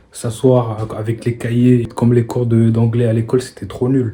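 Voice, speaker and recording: Here a man talks at a fairly slow pace. His medium-pitched voice has a monotone, flat intonation. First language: not French (speaking French). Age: 20s. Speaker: vlogger. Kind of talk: casual vlog monologue. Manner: casual, hesitant with fillers.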